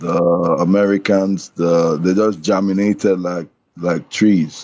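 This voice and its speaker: Fairly slow and monotone, with flat intonation, a man speaks in a very deep, low voice with a dark, mellow tone. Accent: Nigerian. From Nigeria. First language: Nigerian language. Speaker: caller in a debate stream. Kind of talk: heated debate. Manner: halting.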